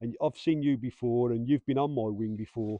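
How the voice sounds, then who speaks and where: Moving at a fairly quick pace, a man with an English accent speaks at a medium pitch with ordinary pitch variation. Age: 50s. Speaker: former prison officer. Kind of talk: casual chat.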